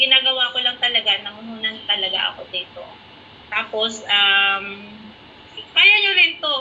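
A woman's high, lively voice at a moderate pace, with long, frequent pauses, big swings in loudness, and light background noise. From Philippines, Negros Oriental (Visayas). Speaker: network marketing coach. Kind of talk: testimony. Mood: encouraging, confident. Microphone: video call.

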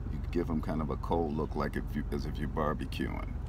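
A man is speaking. Noticeable background noise runs underneath. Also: dry sound with no echo. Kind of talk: tutorial. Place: car. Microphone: phone near.

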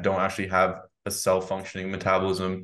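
A man with an American accent talks at a fairly quick pace in a very deep, low voice. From United States. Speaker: podcast host. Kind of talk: interview. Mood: friendly, enthusiastic. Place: home room. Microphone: studio mic.

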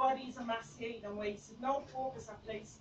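A woman talks with a Dublin accent. Light background noise and audible room echo fill the recording. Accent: Irish (Dublin). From Ireland. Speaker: spoken word poet. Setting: open mic night in a bar, live audience. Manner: intense, rhythmic, confessional, punchy rhymes. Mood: intense, emotional. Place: bar. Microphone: phone near.

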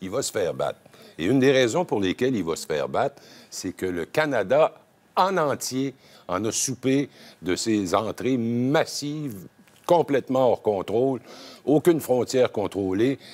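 A man in a Quebec accent, fairly slow and lively in intonation, with long, frequent pauses. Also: medium pitch for a man. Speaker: political analyst. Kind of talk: TV panel debate. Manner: animated. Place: studio.

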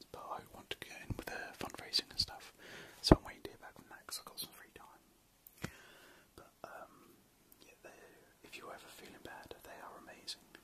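A whispering man at a moderate pace, with big swings in loudness and long, frequent pauses. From British. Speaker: ASMR creator. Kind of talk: ASMR late-night ramble. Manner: whispered; soft-spoken. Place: home room. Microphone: phone near.

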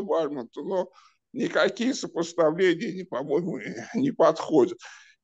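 With a quiet background, a man speaks at a high pitch with lively intonation. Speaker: audience member. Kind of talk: discussion. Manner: halting.

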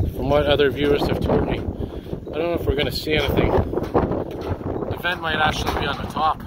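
Over loud background noise, a fairly high-pitched man speaks at a moderate pace in a flat monotone with hardly any pauses, the sound dry with no echo. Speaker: walking-tour vlogger. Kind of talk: casual vlog narration. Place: street. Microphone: phone near.

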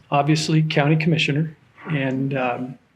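A man with a fairly high pitch speaks at a very slow pace. His intonation is fairly even, and the room echo is audible. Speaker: county commissioner. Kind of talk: public meeting remarks. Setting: community meeting room with audience. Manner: soft-spoken.

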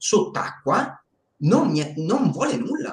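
Audible room echo surrounds a man speaking at a fairly slow pace with very wide pitch swings. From northern Italy, Bergamo area; northern Italy. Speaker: documentary filmmaker and video editor; interview guest. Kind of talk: live stream interview. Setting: live stream. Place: home room. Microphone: video call.

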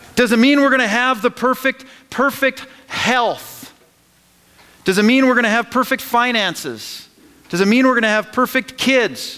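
A man's extremely high-pitched, raised and projected voice. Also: moderate pace. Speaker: pastor. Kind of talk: sermon. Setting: church. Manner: animated, call-and-response preaching; emphatic, repeating phrases for emphasis. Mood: earnest, rhetorical questions. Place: church.

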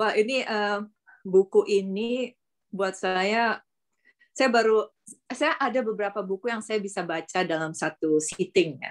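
At a fairly slow pace, an unremarkable speaking voice moves with ordinary pitch variation. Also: woman, medium pitch for a woman. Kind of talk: group discussion. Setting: video call.

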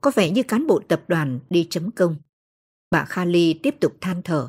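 On a very clean recording with a silent background, a woman with a fairly low, somewhat breathy voice talks very slowly, her pitch swinging very widely. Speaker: audiobook narrator. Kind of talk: audiobook novel reading.

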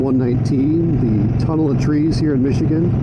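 Someone speaks at a moderate pace through loud background noise. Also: man. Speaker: motorcycle vlogger. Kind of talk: casual vlog chat. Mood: relaxed, content. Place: motorbike.

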